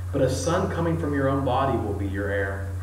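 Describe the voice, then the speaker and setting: Over light background noise and audible room echo, a man speaks at a fairly low pitch. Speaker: preacher. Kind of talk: scripture reading in a sermon. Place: church. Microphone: camera far.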